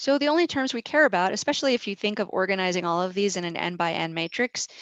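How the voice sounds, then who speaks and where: A woman with an unremarkable speaking voice talks at medium pitch with lively intonation, in a dry, close sound with no echo and a quiet background. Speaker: statistics professor. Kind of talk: lecture. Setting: video call.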